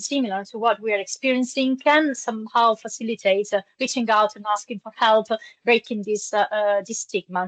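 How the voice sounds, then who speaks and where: Fairly quick and fairly even in intonation, the voice has a dry, close sound with no echo. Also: woman. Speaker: humanitarian peer support presenter. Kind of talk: webinar presentation. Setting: online webinar. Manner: fast.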